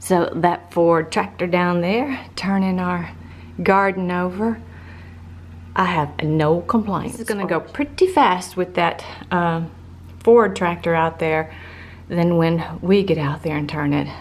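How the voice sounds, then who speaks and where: A woman's fairly low voice, fairly slow with long, frequent pauses and ordinary pitch variation. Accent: Southern US. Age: 50s. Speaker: lifestyle vlogger. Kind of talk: casual vlog monologue. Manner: halting.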